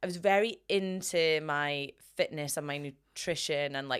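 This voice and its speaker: A very deep, low-voiced woman in a Scottish accent, with ordinary pitch variation, on a very clean recording with a silent background. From Scotland, Inverness. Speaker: strength coach. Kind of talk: casual chat. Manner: hesitant with fillers.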